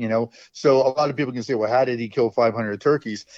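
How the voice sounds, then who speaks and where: A man with an American accent talks very fast at a medium pitch. His intonation is fairly even. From northern New Jersey. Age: 70s. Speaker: veteran turkey hunter. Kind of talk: podcast interview. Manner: halting, repetitive.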